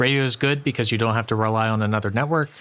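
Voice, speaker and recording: The delivery is very fast, with fairly even intonation. Noticeable background noise sits behind it. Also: man. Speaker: YouTube reaction commentator. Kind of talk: reaction commentary.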